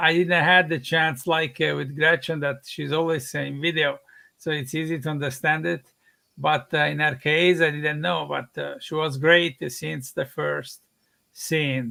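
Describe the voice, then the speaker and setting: With an Italian accent, a man speaks at a fairly high pitch. His pace is fairly slow. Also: fairly even intonation. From Italy. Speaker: film director. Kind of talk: interview on live stream. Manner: hesitant, many fillers.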